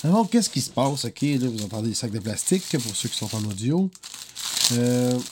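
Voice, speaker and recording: A man with a Quebec accent, medium pitch and lively intonation, over noticeable background noise. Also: moderate pace. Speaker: singer-songwriter podcaster. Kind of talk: casual monologue podcast. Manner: casual, hesitant with fillers.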